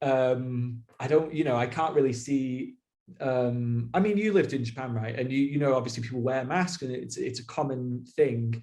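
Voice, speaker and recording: A man with a British accent speaks at a moderate pace in a medium pitch, his tone dark and mellow and his pitch varying in an ordinary way. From Britain. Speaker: expat working in education in Japan. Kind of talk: casual conversational interview.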